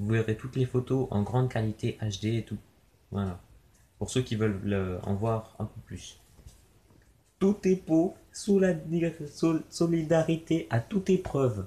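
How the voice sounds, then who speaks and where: With a dark, mellow tone and a somewhat breathy quality, a man speaks at a medium pitch and a very slow pace, his pitch swinging very widely between long, frequent pauses, on a very clean recording with a silent background. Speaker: youtuber opening trading card packs. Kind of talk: casual unboxing commentary. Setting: home video recording, someone else filming. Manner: casual, hesitant with fillers. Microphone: low quality video recording.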